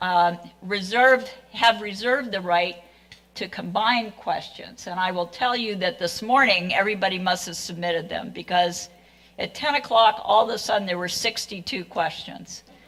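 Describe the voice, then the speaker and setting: Noticeable background noise behind a woman's moderate-paced voice, ordinary in pitch variation. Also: medium pitch for a woman. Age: 70s. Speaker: forum moderator, retired professor. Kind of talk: moderating a public candidate forum. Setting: public forum with live audience. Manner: casual, conversational with fillers.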